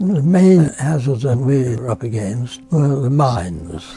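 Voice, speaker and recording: The speech moves at a very slow pace with lively intonation. Music plays in the background. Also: man. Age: 80s+. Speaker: war veteran. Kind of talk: interview answer.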